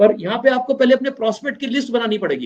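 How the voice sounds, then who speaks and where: A man's extremely high pitch with ordinary variation at a moderate pace. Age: 60s. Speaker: business trainer. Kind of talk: training talk.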